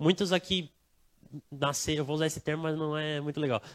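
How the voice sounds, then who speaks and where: The man's voice sits at a fairly high pitch, with a dry, close sound and no echo. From Brazil, not Bahia. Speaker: preacher. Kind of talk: sermon. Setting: church service, livestreamed. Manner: casual, conversational.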